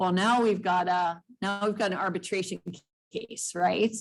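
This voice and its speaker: A woman with a plain, everyday voice speaks at a fairly slow pace, her medium pitch held in fairly even intonation. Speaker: real estate trainer. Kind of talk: training session. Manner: casual.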